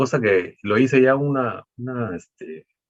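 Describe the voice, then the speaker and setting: A man's voice comes across dry and close, without any echo. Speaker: professor. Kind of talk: panel talk. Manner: hesitant, many fillers.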